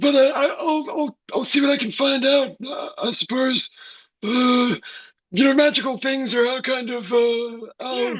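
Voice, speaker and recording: A put-on character voice, high-pitched, delivers lines at a moderate pace. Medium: stage play. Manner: hesitant, filler-heavy.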